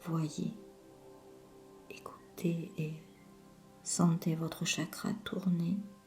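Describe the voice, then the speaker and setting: A woman with a fairly low voice speaks very slowly, leaving long, frequent pauses. Her intonation stays fairly even while music plays in the background. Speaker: hypnotherapist. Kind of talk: sleep hypnosis session. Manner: slow, soothing.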